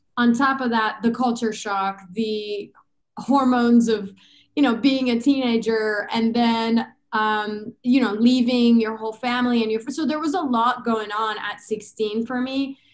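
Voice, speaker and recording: With a Persian accent, a woman speaks at a fairly high pitch. Her pace is fairly slow and her intonation fairly even. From Iran. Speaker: chiropractor and business consultant. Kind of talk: podcast interview, personal story.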